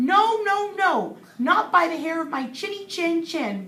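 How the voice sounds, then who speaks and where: A put-on character voice, raised and projected, delivered at a fairly slow pace. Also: woman, extremely high pitch for a woman. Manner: defiant.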